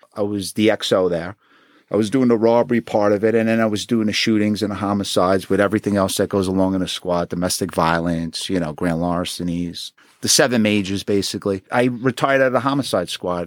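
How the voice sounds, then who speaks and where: A man with a Queens accent at a fairly quick pace, fairly low in pitch with ordinary variation, dry and close with no echo, on a very clean recording with a silent background. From Queens, New York City. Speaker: retired homicide detective. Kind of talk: interview. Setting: studio.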